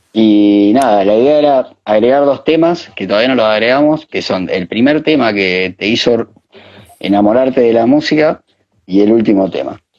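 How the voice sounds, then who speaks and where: Speaking at a moderate pace in an Argentine accent, a man has a medium pitch and ordinary pitch variation. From Argentina, Santa Fe province. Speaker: DJ and interview host. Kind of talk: casual chat. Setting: video call.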